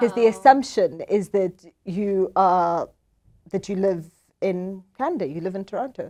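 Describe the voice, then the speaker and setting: A woman with a dark, mellow tone speaks at a fairly slow pace, her loudness swinging widely. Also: medium pitch for a woman, ordinary pitch variation. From South Africa. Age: 30s. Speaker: political scientist. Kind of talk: interview.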